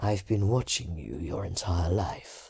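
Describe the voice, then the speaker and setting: A raspy put-on character voice moves at a fairly slow pace with lively intonation. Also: man, very deep, low pitch for a man. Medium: read story.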